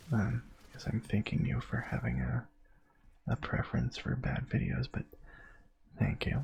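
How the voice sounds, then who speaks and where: A man whispers. He leaves long, frequent pauses. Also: moderate pace. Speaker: gaming ASMR youtuber. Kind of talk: casual chat. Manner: soft-spoken; halting.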